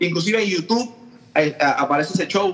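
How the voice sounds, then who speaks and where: The speaker has a Puerto Rican accent and ordinary pitch variation. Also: man. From Puerto Rico, Aguadilla. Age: 30s. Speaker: drummer. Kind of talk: casual chat.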